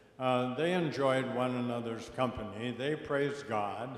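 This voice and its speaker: Recorded with audible room echo and noticeable background noise, a man speaks at a medium pitch and a fairly slow pace with ordinary pitch variation. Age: 80s+. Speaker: panelist speaker on faith and ecology. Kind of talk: panel discussion.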